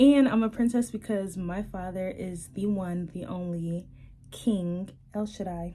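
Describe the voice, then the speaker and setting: A woman speaks at a medium pitch with ordinary pitch variation. Her voice is somewhat breathy and her pace fairly slow. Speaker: lifestyle vlogger. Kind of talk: casual vlog chat. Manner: spontaneous, filler-heavy.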